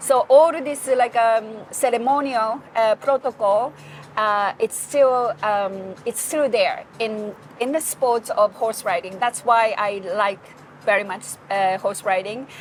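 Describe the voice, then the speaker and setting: This woman has a Japanese accent and a fairly high pitch. She speaks at a fairly slow pace with ordinary pitch variation. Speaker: hospitality and PR professional. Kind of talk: interview. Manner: halting.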